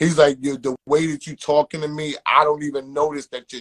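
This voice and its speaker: Delivered at a moderate pace with a New York accent, the voice sounds dry and close, with no echo at all. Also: man. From Queens, New York. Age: 40s. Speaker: podcast co-host and manager. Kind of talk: interview. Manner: animated.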